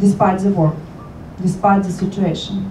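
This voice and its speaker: A woman talks amid noticeable background noise. Audible room echo surrounds her voice. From Ukraine. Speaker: local politician. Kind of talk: formal speech.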